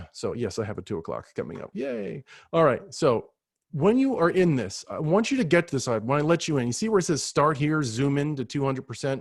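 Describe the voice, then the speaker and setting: A man's unremarkable speaking voice, fairly high in pitch, at a fairly quick pace with lively intonation, dry with no echo, over a quiet background. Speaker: ed tech trainer for teachers. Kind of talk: live virtual training tutorial. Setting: video call. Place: home room. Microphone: webcam.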